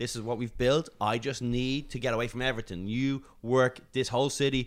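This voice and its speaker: On a very clean recording with a silent background, a man with an Irish accent talks at a moderate pace. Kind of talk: casual chat.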